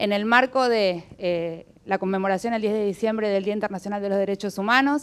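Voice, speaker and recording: A woman with a plain, everyday voice, medium pitch, and fairly even intonation. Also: fairly quick pace, hardly any pauses. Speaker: human rights activist. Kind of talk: welcome speech. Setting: event venue with audience.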